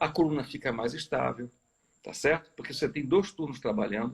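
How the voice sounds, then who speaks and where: Moderate pacing and typical pitch movement from a man. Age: 60s. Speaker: chemical company executive. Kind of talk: live video interview. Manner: hesitant, frequent filler tá certo.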